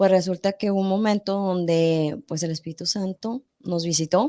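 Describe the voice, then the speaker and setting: The tone is dark and mellow. The sound is dry and close with no echo, on a very clean recording with a silent background. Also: woman. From northern Mexico, Monterrey. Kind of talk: testimony in a podcast interview.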